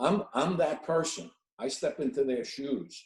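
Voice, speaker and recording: With a dark, mellow tone, a man talks at a fairly slow pace, his pitch swinging very widely. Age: 60s. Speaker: elder law attorney. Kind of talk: career workshop panel talk. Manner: halting, many repeated words and fillers.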